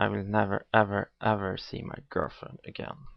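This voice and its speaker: The speaker is a man going at a fairly slow pace. He has a non-native accent. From not America. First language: not English. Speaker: atheist video blogger. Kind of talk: video monologue response. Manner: halting.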